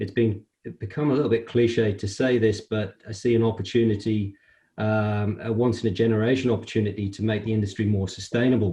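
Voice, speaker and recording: This man has a British accent and a fairly low pitch, a dark, mellow, somewhat breathy tone, a monotone, flat intonation, and a fairly quick pace. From UK. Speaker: construction industry executive. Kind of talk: interview. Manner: hesitant, many fillers.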